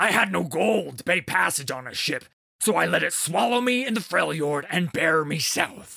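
Putting on a raspy character voice, a man speaks at a high pitch with very wide pitch swings. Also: moderate pace. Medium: read story. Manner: blunt, boisterous.

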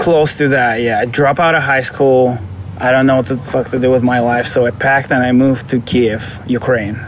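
With a strong Russian accent, a man speaks at a moderate pace with medium pitch, fairly even intonation, and very even loudness over noticeable background noise. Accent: thick Russian. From Moscow, Russia. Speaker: vintage clothing seller. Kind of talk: casual interview chat.

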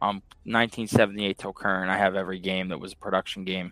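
A man talks at a very fast pace, the sound dry and close with no echo in a very clean recording with a silent background. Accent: American. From Pittsburgh, Pennsylvania. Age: 30s. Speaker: arcade owner. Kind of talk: casual chat.

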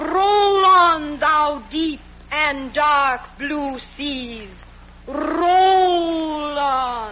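A put-on character voice delivers the lines in a theatrical tone at a very slow pace. Clear background noise runs underneath. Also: man, extremely high pitch for a man. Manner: theatrical, declamatory.

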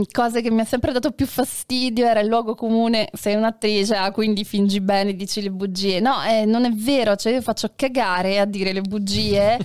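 With an ordinary speaking voice, a woman talks at a moderate pace and fairly high pitch, her intonation fairly even and loudness very even. The recording is very clean, with a silent background. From Sicily, Taormina. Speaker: actress and satirical web performer. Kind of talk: casual chat. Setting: live stream.

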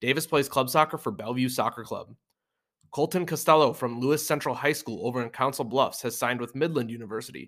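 At a very fast pace, a man speaks in a medium pitch with ordinary pitch variation. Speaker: high school soccer podcast host. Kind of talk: solo sports preview podcast, scripted. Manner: read from script.

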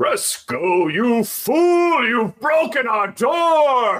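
A man puts on a character voice, pitched extremely high. He speaks at a very slow pace. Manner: scolding, theatrical.

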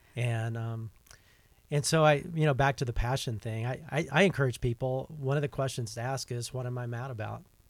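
Speaking in an American accent with a normal speaking voice, a man at a medium pitch talks at a fairly quick pace with fairly even intonation. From US South. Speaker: podcast host. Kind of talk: casual interview. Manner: frequent fillers, uh and um.

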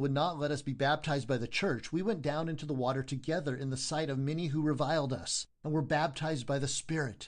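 Using a normal speaking voice, a man talks at a fairly quick pace with a fairly high pitch and ordinary pitch variation. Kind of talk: audiobook reading of a historical first-person confession. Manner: solemn, measured, formal narration.

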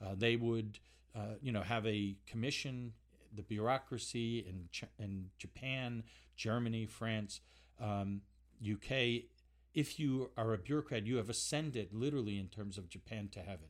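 A man speaks in a plain, everyday voice at a medium pitch and moderate pace, with ordinary pitch variation, on a very clean recording with a silent background. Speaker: think tank expert and professor. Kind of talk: interview answers.

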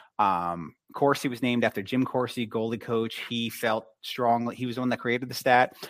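A normal speaking voice moves at a moderate pace with hardly any pauses and fairly even intonation. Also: man, medium pitch for a man. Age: 30s. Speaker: hockey analyst. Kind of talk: casual chat.

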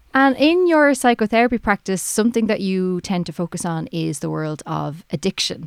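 In a very clean recording with a silent background and a dry, close sound with no echo, a woman with an Irish accent talks at a moderate pace and medium pitch. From Ireland. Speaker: podcast host and editor. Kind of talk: interview.

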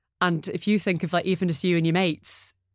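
Speaking fairly quickly with a Geordie accent, a woman with a fairly low voice is heard on a very clean recording with a silent background. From northeast England (Newcastle). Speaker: media client partner. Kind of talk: casual interview.

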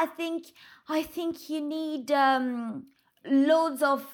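Bright and sharp, a woman's high voice comes through in a French accent. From France. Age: 20s. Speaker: reality TV star. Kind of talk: casual chat. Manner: halting.

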